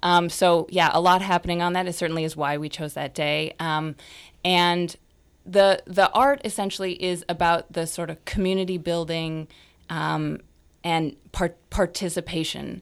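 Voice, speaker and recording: A woman with an American accent and an unremarkable speaking voice talks at a moderate pace in a fairly low pitch with fairly even intonation, on a very clean recording with a silent background. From Sonoma County, California. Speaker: activist volunteer. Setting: studio.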